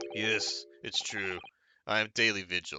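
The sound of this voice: In a put-on character voice, a man talks at a fairly slow pace with a fairly low pitch.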